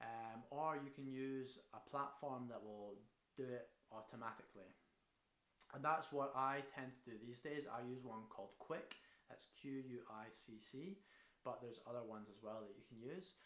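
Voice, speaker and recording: Audible room echo surrounds a man speaking in a Scottish accent. His loudness swings widely while his pitch varies in an ordinary way. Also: medium pitch for a man, moderate pace. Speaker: marketing consultant. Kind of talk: tutorial. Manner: casual.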